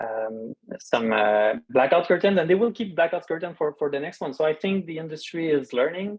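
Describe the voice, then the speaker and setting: With lively intonation and hardly any pauses, a man speaks at a fairly high pitch. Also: moderate pace. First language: French. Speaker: dark-sky expert, park scientist. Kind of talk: Q&A after a talk. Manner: halting, many fillers.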